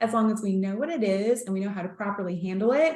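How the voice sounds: A woman with a medium pitch speaks with audible room echo.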